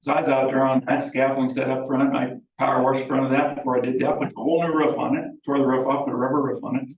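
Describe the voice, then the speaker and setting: A man with an American accent, medium-pitched, monotone and flat, at a very fast pace. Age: 60s. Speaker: property owner. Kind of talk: public meeting discussion. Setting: village board meeting.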